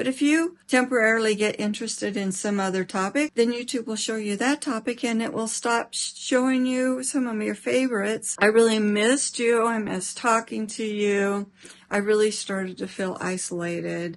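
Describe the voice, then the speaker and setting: Amid noticeable background noise, a woman speaks at a moderate pace with hardly any pauses, her pitch fairly high with ordinary pitch variation. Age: 60s. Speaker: lifestyle vlogger. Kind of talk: casual vlog talk to camera. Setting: at home, bedroom. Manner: halting.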